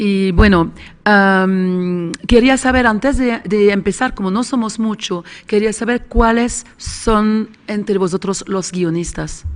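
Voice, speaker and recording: Speaking at a very slow pace, the woman keeps her intonation fairly even at a medium pitch. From Switzerland. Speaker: screenwriter and script doctor. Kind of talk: panel discussion. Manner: halting.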